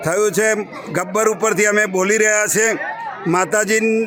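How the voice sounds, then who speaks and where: Through noticeable background noise, a man's raised, projected voice comes across high in pitch with fairly even intonation. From north Gujarat, near Visnagar. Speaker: doctor and pilgrim. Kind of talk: on-location statement. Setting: outdoors on hilltop.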